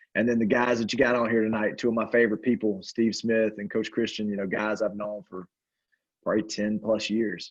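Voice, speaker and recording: In a Southern US accent, a man talks at a fairly quick pace. His pitch is fairly low and his intonation fairly even. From upstate South Carolina. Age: 40s. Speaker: basketball coach. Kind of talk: panel discussion.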